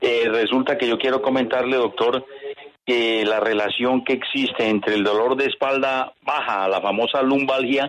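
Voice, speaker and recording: A man speaks at a moderate pace and a medium pitch, his loudness very even and his intonation fairly even, with noticeable background noise behind him. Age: 60s. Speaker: radio caller. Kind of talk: call-in question. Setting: phone call. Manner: formal.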